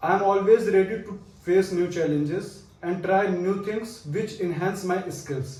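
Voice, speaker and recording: Amid noticeable background noise, a man with an Indian accent speaks at a fairly slow pace, high in pitch with fairly even intonation. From Fatehpur, Uttar Pradesh, India. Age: 20s. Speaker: business school student. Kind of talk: video resume self-introduction.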